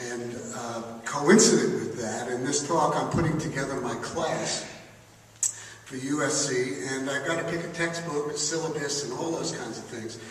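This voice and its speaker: A man's fairly high voice, with ordinary pitch variation and a moderate pace, comes through audible room echo and noticeable background noise. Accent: American. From New York. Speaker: advertising executive and professor. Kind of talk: conference speech. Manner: animated.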